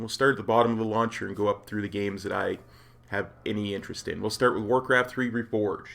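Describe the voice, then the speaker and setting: A man talks at a very fast pace in a medium pitch. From Canada, Alberta. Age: 40s. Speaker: gaming YouTuber and streamer. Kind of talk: casual talk to camera. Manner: upbeat.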